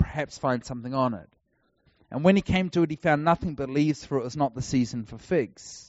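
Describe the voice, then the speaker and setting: Someone with a New Zealand accent talks at a very fast pace, using ordinary pitch variation. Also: man. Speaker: traveling preacher. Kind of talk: sermon.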